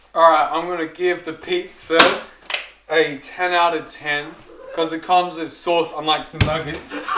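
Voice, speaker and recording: Loud background noise under a man's fairly slow delivery. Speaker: food reviewer vlogger. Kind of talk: casual vlog chat. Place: home room. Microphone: phone near.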